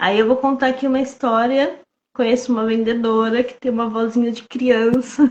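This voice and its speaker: The tone is calm, and the pace is moderate. Intonation stays monotone and flat. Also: woman, high pitch for a woman. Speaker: sales coach. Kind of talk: casual chat. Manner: calm, clear speech.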